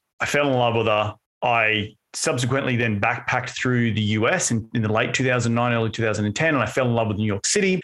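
A man's very fast, nearly pauseless delivery in an Australian accent, with medium pitch, ordinary pitch variation, very even loudness and a quiet background. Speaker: podcast host and author. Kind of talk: podcast interview.

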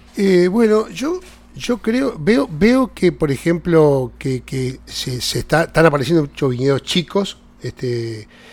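A man with a Uruguayan accent speaks at a very slow pace. His voice is fairly high, with very wide pitch swings. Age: 60s. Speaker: vineyard grower. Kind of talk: casual interview. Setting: at the vineyard. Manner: halting.

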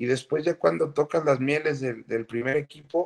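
At a fairly slow pace, a man talks in an ordinary speaking voice, medium in pitch with ordinary pitch variation. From Guadalajara, Mexico (born Mexico City). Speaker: retired footballer. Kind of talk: interview.

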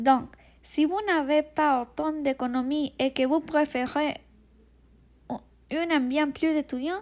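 With a Spanish accent, a woman talks at a very slow pace and a high pitch, her intonation fairly even and broken by long, frequent pauses, in a very clean recording with a silent background. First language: Spanish (speaking French). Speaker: language student, podcast co-host. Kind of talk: student podcast presentation, partly read. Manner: halting, many hesitations.

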